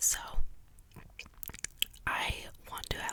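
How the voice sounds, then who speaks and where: A woman whispers in a relaxed tone. Noticeable background noise sits behind her. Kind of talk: ASMR whispered storytelling about paranormal experiences, casual rambling. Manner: whispered, clicky, relaxed, rambling.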